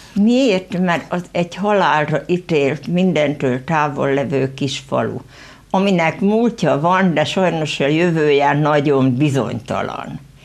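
A woman talks at a very deep, low pitch and a very slow pace. Her loudness stays very even, and her pitch varies in an ordinary way. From Hungary, rural Veszprém county village; Hungary. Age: 70s. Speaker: local author; guest. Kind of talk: studio interview. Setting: TV studio. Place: studio.

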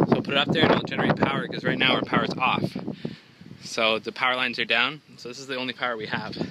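Loud background noise surrounds a man speaking at a fairly quick pace. His pitch varies in an ordinary way, and the sound is dry with no echo. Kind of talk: casual vlog chat. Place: street. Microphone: phone near.

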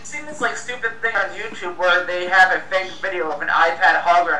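Audible room echo surrounds the voice. The pace is very fast. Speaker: show host or panel guest. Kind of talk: casual tech commentary discussion. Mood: opinionated, ranting. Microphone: video call.

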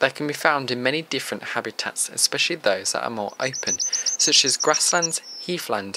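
The speaker talks at a moderate pace with lively intonation. Noticeable background noise is present. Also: man. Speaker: nature presenter. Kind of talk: nature documentary narration. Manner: measured, even, informative; formal, steady pace.

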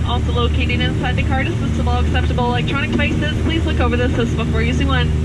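Very fast talking against loud background noise. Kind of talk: safety announcement. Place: plane.

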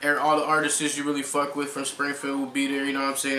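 Music plays behind a man whose voice carries audible room echo. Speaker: guest. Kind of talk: interview answer. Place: home room.

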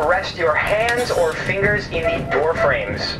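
A fairly slow-speaking man is heard while music runs underneath. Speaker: train staff announcer. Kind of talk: safety announcement. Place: train. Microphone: pa.

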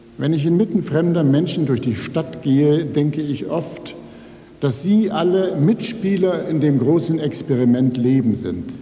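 A man's fairly high voice at a fairly slow pace, with lively intonation. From Rhineland, Germany (Neuss); Rhineland, Germany. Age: 60s. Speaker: writer. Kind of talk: acceptance speech. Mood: calm, reflective. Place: hall. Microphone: podium.

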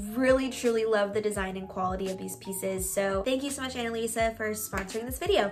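A woman's very fast speech with hardly any pauses and ordinary pitch variation, amid noticeable background noise. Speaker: vlogger. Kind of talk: sponsored product review. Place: home room.

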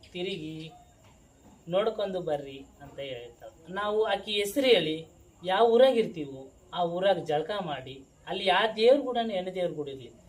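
A woman's voice with very wide pitch swings and big swings in loudness, against noticeable background noise. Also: medium pitch for a woman. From Anantapur district, Andhra Pradesh (Karnataka border). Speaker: jogamma, folk religious devotee. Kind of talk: interview answers, life story.

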